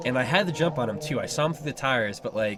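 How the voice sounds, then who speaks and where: Noticeable background noise around a man's voice of ordinary pitch variation. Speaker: airsoft player commentating gameplay. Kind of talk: casual chat. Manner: hesitant, many fillers.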